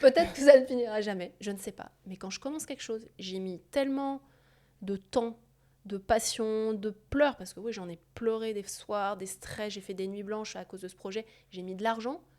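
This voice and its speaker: A woman with a fairly high pitch and a dark, mellow tone speaks at a moderate pace, with ordinary pitch variation and big swings in loudness. The recording is very clean, with a silent background. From France. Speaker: surgeon and entrepreneur. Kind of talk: interview conversation. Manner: hesitant, many fillers and repetitions.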